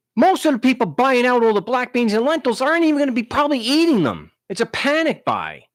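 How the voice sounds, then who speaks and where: Extremely high-pitched man with a New York accent at a very fast pace, very even loudness, ordinary pitch variation and hardly any pauses. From Long Island, New York. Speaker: talk show host. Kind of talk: live call-in show, casual talk. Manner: halting, many restarts.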